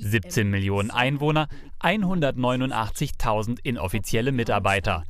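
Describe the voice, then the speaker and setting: Moderately paced male speech, its pitch swinging very widely. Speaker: news reporter. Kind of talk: local TV news narration.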